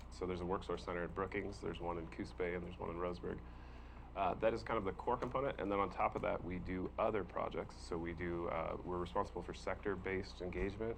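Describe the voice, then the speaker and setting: A man's very deep, low, mumbling voice with vocal fry and lively intonation, very fast, in audible room echo. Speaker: workforce development presenter. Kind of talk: public meeting presentation. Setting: county board workshop. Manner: hesitant with many fillers.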